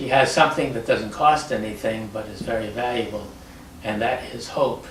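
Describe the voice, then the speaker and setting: Noticeable background noise sits behind a man's voice. His volume rises and falls in big swings. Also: medium pitch for a man, ordinary pitch variation, moderate pace. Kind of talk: interview answer.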